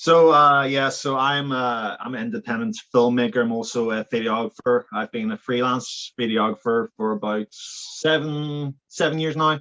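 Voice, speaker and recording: In a Belfast accent, a man talks at a moderate pace and medium pitch with lively intonation and hardly any pauses. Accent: Belfast Northern Irish. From Northern Ireland, Belfast. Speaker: filmmaker and videographer. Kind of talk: casual interview chat.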